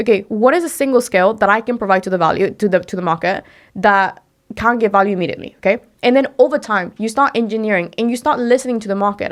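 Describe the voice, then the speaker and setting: In a Spanish accent, a woman with a fairly high pitch speaks at a very fast pace in an animated tone. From Mexico. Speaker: entrepreneur and personal branding expert. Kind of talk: podcast interview.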